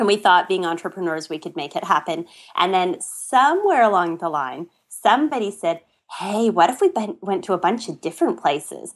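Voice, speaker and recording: In a Canadian accent, a normal speaking voice moves at a fairly quick pace with lively intonation on a very clean recording with a silent background. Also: woman, medium pitch for a woman. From western Canada. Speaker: blogger and traveler. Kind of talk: casual interview chat.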